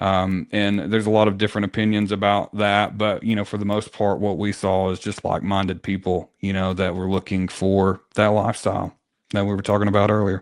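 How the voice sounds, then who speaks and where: A man talks with a Southern accent at a fairly quick pace with hardly any pauses. His voice is fairly low with monotone, flat intonation. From rural Tennessee. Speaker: real estate team leader. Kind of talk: interview conversation. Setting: podcast. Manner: fast.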